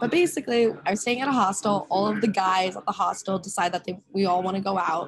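In an American accent, a woman talks at a medium pitch, somewhat breathy, with ordinary pitch variation. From US Midwest, Minnesota (Rochester). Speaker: finance worker and traveler. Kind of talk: casual chat. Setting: video call from a cafe.

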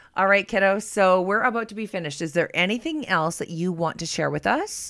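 Here is a woman with an unremarkable speaking voice and a medium pitch. She talks at a fairly quick pace with lively intonation and hardly any pauses. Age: 40s. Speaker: podcast co-host and mother. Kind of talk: casual chat.

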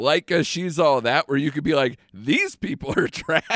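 A man has a plain, everyday voice at a fairly high pitch. He speaks at a moderate pace, and the sound is dry and close with no echo. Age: 30s. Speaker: podcast host. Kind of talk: casual chat.

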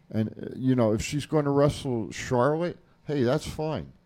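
Speaking in a New Jersey accent, a man has a medium pitch, a dark, mellow tone and ordinary pitch variation. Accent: New Jersey American. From New Jersey, US. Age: 60s. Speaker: wrestling show co-host. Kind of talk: casual sports talk radio. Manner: animated.

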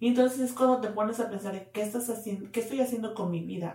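A woman talks at a fairly quick pace, her pitch varying in an ordinary way, while noticeable background noise carries on behind her. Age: 30s. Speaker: podcast co-host. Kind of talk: casual chat.

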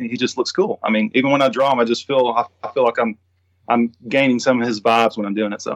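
Talking at a very fast pace, a man speaks with a Southern US accent. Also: medium pitch for a man, fairly even intonation, dry, close sound with no echo. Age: 30s. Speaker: sports artist. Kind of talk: interview. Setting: remote call.

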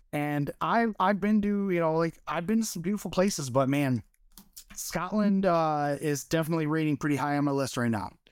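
Speaking with an Upper Midwest accent, a man has a fairly high pitch and ordinary pitch variation. The recording is very clean, with a silent background. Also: fairly quick pace. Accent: Upper Midwest American. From Michigan (Flint). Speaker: photographer. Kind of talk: casual chat. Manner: halting.

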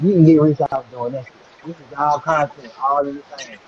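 With an American accent, a man talks at a fairly quick pace and a fairly high pitch against noticeable background noise. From North Carolina. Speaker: rapper. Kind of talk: casual chat.

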